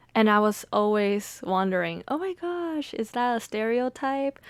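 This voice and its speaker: A woman with a Mandarin accent at a very slow pace, on a very clean recording with a silent background. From Taiwanese American family, Mandarin-speaking home. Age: 20s. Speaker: podcast host and poet. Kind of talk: reflective monologue. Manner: casual, with fillers.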